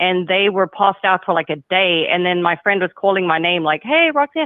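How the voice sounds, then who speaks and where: Speaking at a fairly quick pace, a woman with a slight South African accent keeps her loudness very even, her medium pitch showing ordinary variation. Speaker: caller. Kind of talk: casual chat.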